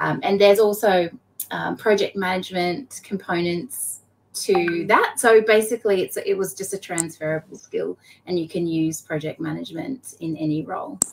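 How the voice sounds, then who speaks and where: Someone with an Australian accent speaks at a moderate pace with ordinary pitch variation. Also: woman, medium pitch for a woman. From Queensland, Australia. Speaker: blockchain association operations executive. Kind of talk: interview.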